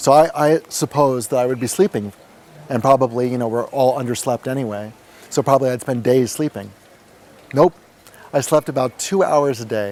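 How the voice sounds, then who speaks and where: Speaking at a fairly quick pace with long, frequent pauses, a man with an American accent keeps a medium pitch and ordinary pitch variation in a dry, close sound with no echo. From US, New York. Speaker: meditation retreat participant. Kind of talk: testimony. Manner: fast.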